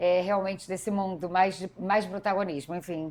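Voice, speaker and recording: At a moderate pace, a woman with a medium pitch speaks in a flat monotone on a very clean recording with a silent background. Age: 40s. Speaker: politician and educator. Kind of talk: interview conversation.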